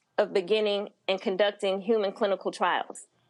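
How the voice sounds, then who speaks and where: In an American accent, a woman speaks at a medium pitch and a moderate pace. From US Midwest, St. Louis. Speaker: cancer researcher, physicist. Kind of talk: interview.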